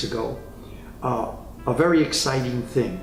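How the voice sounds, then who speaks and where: A man with an American accent at a fairly slow pace, with audible room echo and noticeable background noise. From New York City (Spanish Harlem). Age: 80s+. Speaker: retiree interviewee. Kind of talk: interview.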